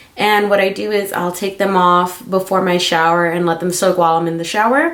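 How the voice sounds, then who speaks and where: Noticeable background noise sits under the recording. A woman speaks at a medium pitch with fairly even intonation. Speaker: beauty and lifestyle vlogger. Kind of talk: casual video diary. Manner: casual, many fillers like um.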